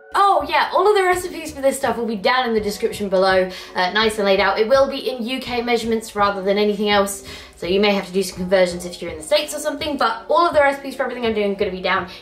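Over light background noise, a woman talks at a very fast pace with lively intonation. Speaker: cooking vlogger. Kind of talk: casual vlog chat. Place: kitchen. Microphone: camera far.

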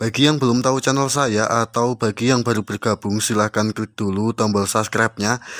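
With an upbeat tone, a man speaks at a moderate pace and a medium pitch. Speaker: orchid seller vlogger. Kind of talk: street-seller style sales pitch. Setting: video channel, solo to camera. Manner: upbeat, promotional, direct address to viewers. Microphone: phone near.

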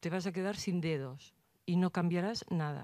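A woman speaks at a moderate pace with a fairly low pitch and a dark, mellow tone. Her pitch variation is ordinary, the sound is dry with no echo, and the background is quiet. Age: old. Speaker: audience member. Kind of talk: audience question. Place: hall.

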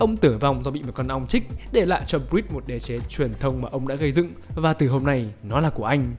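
Music runs in the background. Over it, a man talks very fast. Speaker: narrator. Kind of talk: comedic movie recap narration. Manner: joking, playful.

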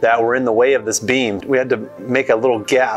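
At a moderate pace a man talks while faint music sits in the background. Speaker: renovation contractor. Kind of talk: walkthrough commentary. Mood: upbeat, relaxed. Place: home room. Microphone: phone near.

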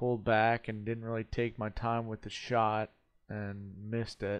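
A man talks in a monotone, with flat intonation. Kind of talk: casual vlog chat. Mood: reflective, calm. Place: home room. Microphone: headset.

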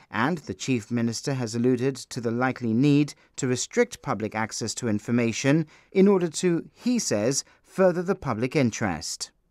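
A man with a normal speaking voice talks at a medium pitch and a moderate pace, his intonation lively. The recording is very clean and dry, with a silent background, a close sound and no echo. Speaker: news reporter. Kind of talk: news reading. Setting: broadcast news report. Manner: formal; measured, steady, and neutral.

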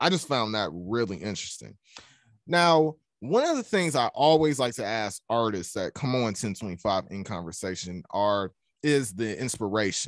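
Lively intonation from a man with a Southern US accent, moderate pace, dry sound with no echo, and a quiet background. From US South. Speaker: student podcast host. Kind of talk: interview. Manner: casual, upbeat. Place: home room. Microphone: studio mic.

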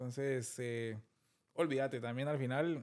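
A man speaks at a moderate pace with ordinary pitch variation. Light background noise sits behind him. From Guatemala, Guatemala City; Guatemala. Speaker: film director; interview guest. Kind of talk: interview. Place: studio. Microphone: studio mic.

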